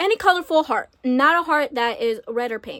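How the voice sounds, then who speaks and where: The woman speaking has lively intonation. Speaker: beauty vlogger. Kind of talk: casual chat while doing makeup. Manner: halting, self-interrupting.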